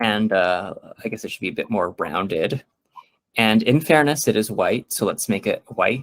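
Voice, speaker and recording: Dry and close with no echo, a plain, everyday voice from a man at medium pitch moves at a moderate pace with lively intonation. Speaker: workshop presenter. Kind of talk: tutorial.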